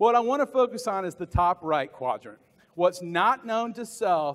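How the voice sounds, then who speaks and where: An animated man with an American accent, lively intonation and a fairly slow pace. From US South. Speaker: motivational business speaker; motivational speaker. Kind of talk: conference keynote speech. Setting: stage with audience at conference. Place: hall.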